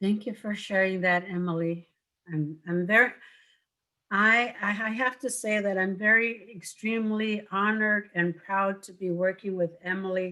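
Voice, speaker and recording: A woman's medium-pitched voice with a bright, sharp tone, fairly even intonation and a moderate pace, on a very clean recording with a silent background. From St. Lawrence Island, Alaska. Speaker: traditional healer. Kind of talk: panel discussion.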